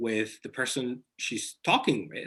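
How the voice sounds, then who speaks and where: The speaker has a Somali accent. The pace is fairly slow. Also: man. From Somalia. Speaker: author. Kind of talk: interview. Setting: video call.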